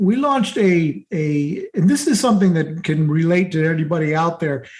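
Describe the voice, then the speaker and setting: A man talks with lively intonation at a high pitch. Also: moderate pace. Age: 60s. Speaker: marketing entrepreneur. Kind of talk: interview.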